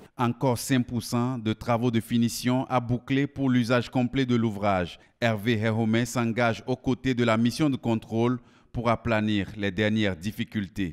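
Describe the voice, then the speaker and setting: A man speaks in an unremarkable speaking voice of medium pitch, at a fairly slow pace with fairly even intonation. The recording is very clean with a silent background, dry and close with no echo. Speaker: news reporter. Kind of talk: news reading, scripted voice-over report. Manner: formal, polished, lyrical delivery with flowery praise.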